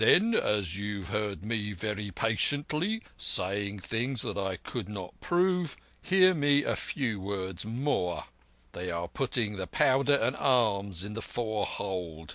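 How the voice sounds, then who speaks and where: A man puts on a raspy character voice, fairly low-pitched, with lively intonation and a fairly slow pace over a quiet background. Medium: read story. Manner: blunt, terse.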